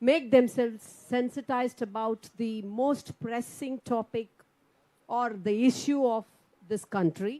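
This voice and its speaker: In a Tamil Nadu accent, a woman with a fairly high pitch and a dark, mellow tone talks at a moderate pace with ordinary pitch variation. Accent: Tamil Indian English. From India, Tamil Nadu. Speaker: politician, poet and former English professor. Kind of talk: panel speech at round table. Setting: round table conference with audience.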